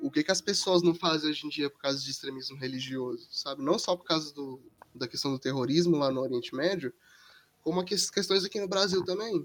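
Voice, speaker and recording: Talking at a fairly quick pace, a man with an ordinary speaking voice sits fairly high in pitch, with ordinary pitch variation. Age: 19. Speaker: university student. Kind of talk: casual chat.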